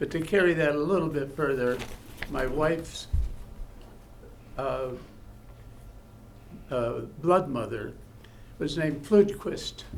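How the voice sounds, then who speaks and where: A man speaks with an American accent at a very slow pace, with long, frequent pauses. His pitch is fairly high with ordinary variation, and the room echo is audible. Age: 80s+. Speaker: honored local resident. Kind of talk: thank-you speech at public meeting. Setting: city council meeting. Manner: halting.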